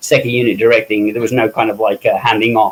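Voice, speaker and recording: A man talks in a British accent with fairly even intonation. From England, West Midlands. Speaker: special makeup effects artist and director. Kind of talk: interview. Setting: live stream. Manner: loud.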